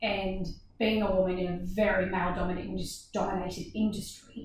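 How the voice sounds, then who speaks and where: A woman with an Australian accent speaks at a fairly quick pace in a medium pitch, her somewhat breathy voice flat and monotone, with audible room echo. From Australia, Gold Coast. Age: 30s. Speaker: dance business owner. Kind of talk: casual chat.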